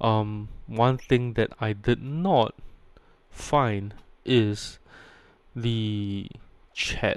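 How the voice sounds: A man speaks at a very slow pace, leaving long, frequent pauses. His pitch is fairly low, with ordinary variation and a clear, smooth tone.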